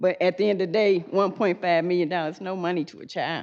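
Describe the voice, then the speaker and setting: With an American accent, a woman speaks in a normal speaking voice at medium pitch and a moderate pace against a quiet background. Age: 60s. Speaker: public commenter. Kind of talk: public comment at meeting.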